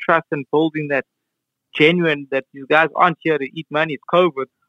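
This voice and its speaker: A man speaks at a moderate pace in a fairly high pitch, his intonation monotone and flat. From South Africa, Cape Town township. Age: 30s. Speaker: township tour company founder. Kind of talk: casual interview chat. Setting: remote call.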